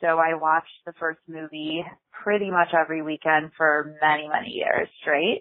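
A woman with an American accent, very deep and low in pitch, with monotone, flat intonation. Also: moderate pace. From Chicago, US Midwest. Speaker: podcast listener leaving a voicemail. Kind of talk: voicemail message.

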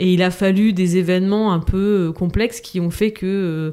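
A woman speaks in a dark, mellow tone. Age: 30s. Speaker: mother and entrepreneur, podcast guest. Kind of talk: casual chat.

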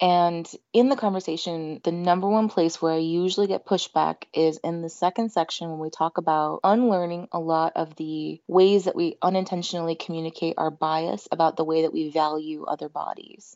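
Using an unremarkable speaking voice, a woman with an American accent speaks at a fairly low pitch and moderate pace with fairly even intonation. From US, Indian family. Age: 30s. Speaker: sex therapist. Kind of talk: interview, casual conversation.

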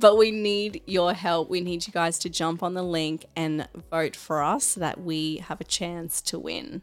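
A woman speaks at a fairly slow pace with fairly even intonation. Her pitch is fairly low.

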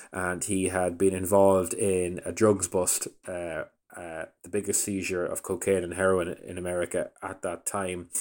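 The speaker has a Donegal Irish accent and a monotone, flat intonation at a moderate pace. The recording is very clean, with a silent background. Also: man. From Ireland, County Donegal. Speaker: radio producer and documentary maker. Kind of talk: interview. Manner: hesitant, many fillers.

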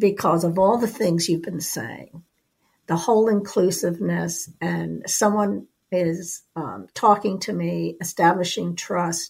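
A woman with an American accent speaks at a fairly slow pace with vocal fry. Her pitch is fairly low with ordinary variation. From US East Coast. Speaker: podcast co-host. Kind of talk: interview.

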